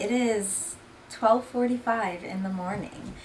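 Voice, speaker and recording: A woman at a fairly slow pace and medium pitch, with ordinary pitch variation and noticeable background noise. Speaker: cannabis lifestyle YouTuber. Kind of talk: casual vlog chat. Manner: mumbling.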